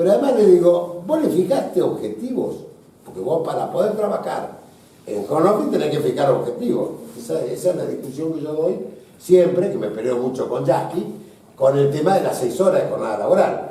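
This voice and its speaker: A man speaks fairly quickly, his words echoing in the room amid clear background noise. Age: 60s. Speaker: business association leader. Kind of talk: panel discussion.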